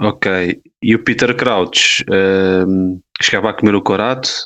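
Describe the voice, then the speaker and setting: A man speaks very slowly with a European Portuguese accent. His pitch is fairly low and his intonation fairly even. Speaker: sports podcast co-host. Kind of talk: casual chat.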